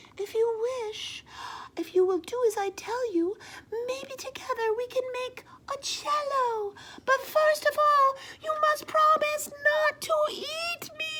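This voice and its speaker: A woman squeaks out a put-on character voice at an extremely high pitch. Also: fairly slow pace. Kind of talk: bedtime story. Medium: read story. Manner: soft.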